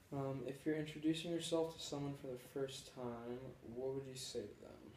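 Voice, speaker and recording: A man speaks at a moderate pace in a somewhat breathy, fairly high voice, with fairly even intonation and big swings in loudness. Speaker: student folklore collector. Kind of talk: interview questions.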